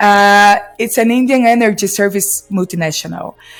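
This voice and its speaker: Over music in the background, a woman speaks at a moderate pace and medium pitch, with ordinary pitch variation. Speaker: podcast host. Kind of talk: interview introduction.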